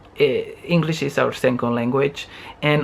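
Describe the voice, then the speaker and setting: Over noticeable background noise, a man speaks with a Spanish accent and fairly even intonation. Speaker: vlogger. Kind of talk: casual chat. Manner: halting.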